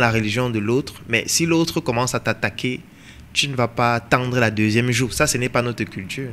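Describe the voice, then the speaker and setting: A man speaks at a moderate pace with medium pitch and ordinary pitch variation. His tone is bright and sharp. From Cameroon. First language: African mother tongue (speaking French). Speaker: entrepreneur and coach. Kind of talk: interview discussion.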